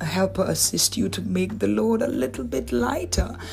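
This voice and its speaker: At a fairly quick pace, a woman speaks in a warm tone over noticeable background noise. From Antigua. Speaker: podcast host giving relationship and faith talk. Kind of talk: solo faith-based talk. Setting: solo podcast recording. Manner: warm, conversational, encouraging.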